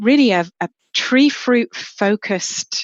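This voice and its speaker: A woman talks with an English accent, her pitch moving in an ordinary way. The sound is dry and close with no echo, over a quiet background. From England. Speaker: horticulture professor, apple breeder. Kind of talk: podcast interview. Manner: hesitant, many fillers.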